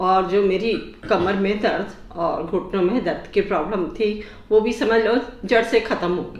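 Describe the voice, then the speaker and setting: A woman with a medium pitch and ordinary pitch variation is heard over noticeable background noise, with audible room echo. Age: 60s. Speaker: patient giving a testimonial. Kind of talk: testimonial interview.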